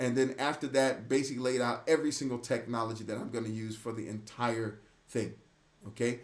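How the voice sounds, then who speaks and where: The speaker is a man, going at a fairly quick pace. Fairly even intonation runs through his delivery. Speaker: AI practitioner sharing workflow. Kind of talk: screen-share tutorial. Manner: fast; casual, conversational.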